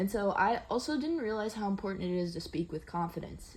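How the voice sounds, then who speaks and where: A woman speaks at a medium pitch, somewhat breathy. Her pace is moderate and her pitch varies in an ordinary way. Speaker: student teacher. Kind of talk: reflective monologue. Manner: assertive tone; halting, many fillers.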